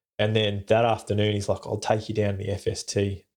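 A man's somewhat breathy, fairly low voice with an Australian accent, at a fairly quick pace. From Perth, Western Australia. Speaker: war veteran, former army combat medic. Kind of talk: interview storytelling. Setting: video call.

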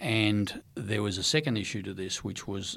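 A man with an Australian accent, fairly low in pitch, at a moderate pace, in a very clean recording with a silent background. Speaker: former intelligence agency director. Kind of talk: interview. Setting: studio.

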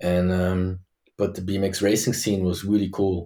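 With a German accent, a man speaks at a moderate pace in a fairly low voice with a dark, mellow tone, recorded very cleanly against a silent background. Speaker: former BMX world champion. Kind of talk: interview.

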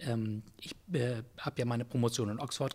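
With fairly even intonation, a man talks at a medium pitch in a somewhat breathy voice. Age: 60s. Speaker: Jesuit priest and philosophy professor, leadership consultant. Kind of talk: interview conversation. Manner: hesitant with many fillers.

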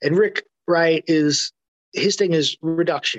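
A man speaks at a fairly slow pace with ordinary pitch variation, the sound dry and close with no echo. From New York City. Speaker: music journalist and author. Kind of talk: interview conversation. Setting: video call. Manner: filler-heavy, seeks agreement.

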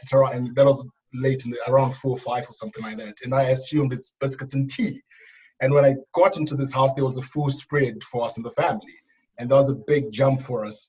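A man with a Zimbabwean accent, somewhat breathy, at a fairly quick pace, with big swings in loudness. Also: medium pitch for a man, fairly even intonation. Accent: Zimbabwean English, noticeable. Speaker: youth worker and preacher. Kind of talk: casual interview.

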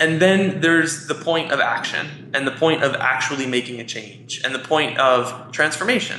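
A man with an American accent speaks at a moderate pace and with ordinary pitch variation. Noticeable background noise can be heard. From New York, Queens. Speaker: life coach running retreats. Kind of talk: casual interview.

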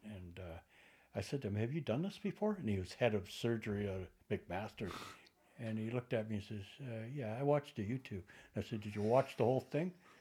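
A man with a Canadian accent speaks at a fairly quick pace, his fairly low voice somewhat breathy and dark, mellow in tone. His intonation is lively, with big swings in loudness. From Canada, Toronto. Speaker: special effects technician. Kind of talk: casual chat. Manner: hesitant, many fillers.

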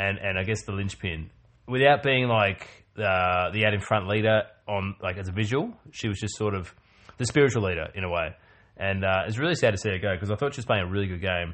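A man at a fairly low pitch and fairly quick pace, with ordinary pitch variation and a plain, everyday voice. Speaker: podcast host. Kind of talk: casual chat.

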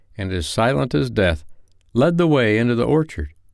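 This man has a normal speaking voice at a medium pitch and talks at a fairly slow pace. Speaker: bedtime story narrator. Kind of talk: scripted narration, reading a ghost story aloud in a hushed, spooky storyteller tone.

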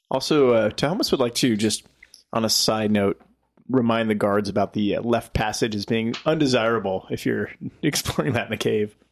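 Here a man uses a normal speaking voice at medium pitch, moving at a moderate pace with ordinary pitch variation. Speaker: tabletop game player. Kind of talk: tabletop role-playing game session.

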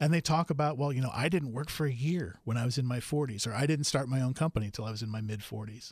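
A man's medium-pitched, somewhat breathy voice at a very fast pace with hardly any pauses and ordinary pitch variation, in a very clean recording with a silent background. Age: 50s. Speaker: reality TV and game show producer. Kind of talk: casual interview.

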